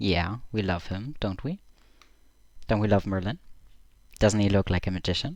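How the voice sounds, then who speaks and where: A man's fairly low voice with ordinary pitch variation, in a very clean recording with a silent background. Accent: German. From Germany. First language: German. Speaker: streamer. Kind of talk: casual livestream commentary. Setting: live stream from home. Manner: halting.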